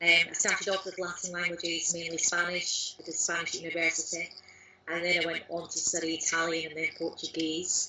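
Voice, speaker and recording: Her voice is fairly low for a woman and flat, monotone in intonation. Noticeable background noise runs underneath. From Lanarkshire, near Glasgow, Scotland. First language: Scots. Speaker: language learner, blogger, course creator. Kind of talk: interview answer.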